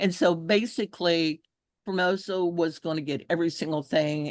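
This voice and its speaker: A woman with a Texan accent at a moderate pace, ordinary pitch variation, a dry, close sound with no echo and a quiet background. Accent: Texas Southern. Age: 70s. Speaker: environmental activist. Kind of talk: testimony.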